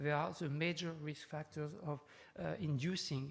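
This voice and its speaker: Man with a French accent, fairly high in pitch, at a moderate pace. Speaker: neurologist, professor. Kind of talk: conference lecture. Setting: conference talk with audience. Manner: hesitant, many fillers.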